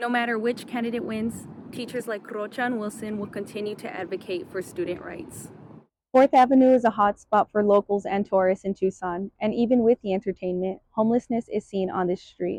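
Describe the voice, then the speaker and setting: A woman with a plain, everyday voice and a fairly high pitch speaks at a fairly quick pace with ordinary pitch variation. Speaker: student reporter. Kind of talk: TV news report.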